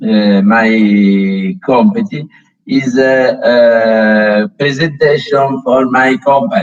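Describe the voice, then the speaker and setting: A man speaks at a medium pitch with a Tuscan accent. His pitch swings very widely. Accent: Tuscan Italian accent in English. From Tuscany, Italy. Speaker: company founder and sponsor. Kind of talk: conference welcome address. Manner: halting, many fillers.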